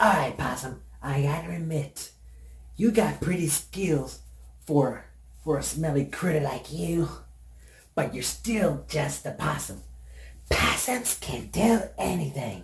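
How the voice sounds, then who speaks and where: A man in a put-on character voice, fairly high-pitched, at a fairly slow pace with long, frequent pauses. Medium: solo performance. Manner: grumpy.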